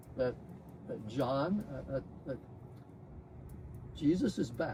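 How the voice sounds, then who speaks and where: Speaking very slowly in a Texan accent, the voice is somewhat breathy with lively intonation. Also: man, fairly high pitch for a man. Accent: Texan American English. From Texas. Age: 80s+. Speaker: spiritual disciple, scientist. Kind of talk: testimony. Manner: halting.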